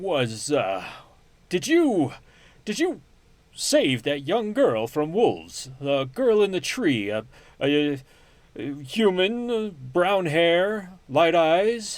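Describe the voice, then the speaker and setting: A man's high put-on character voice, very slow with long, frequent pauses, in a very clean recording against a silent background. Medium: actual play.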